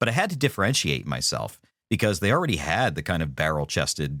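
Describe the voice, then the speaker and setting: A man with an American accent speaks at a very deep, low pitch with vocal fry and a bright, sharp tone. His pace is fairly quick, with very wide pitch swings. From Philadelphia area, US. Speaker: podcaster and former public radio voiceover producer. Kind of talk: casual podcast chat. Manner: conversational, playful.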